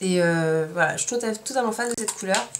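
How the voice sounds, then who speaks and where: A woman's animated, fairly quick speech with lively intonation, over noticeable background noise. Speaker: beauty vlogger. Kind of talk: product haul review. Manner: fast.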